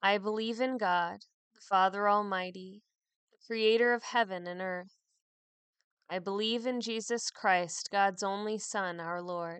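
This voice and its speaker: In a plain, everyday voice, a woman speaks at medium pitch, at a fairly slow pace, with fairly even intonation. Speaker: priest leading morning prayer. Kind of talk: fervent prayer. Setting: online podcast worship recording. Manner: solemn, measured, devout.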